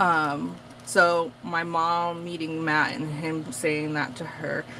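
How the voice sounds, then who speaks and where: Very deep and low, a woman's voice moves at a very slow pace with fairly even intonation. Noticeable background noise and audible room echo fill the recording. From Massachusetts, Portuguese community. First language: Portuguese. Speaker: craft vlogger. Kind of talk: casual chat. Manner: chatty, filler-heavy.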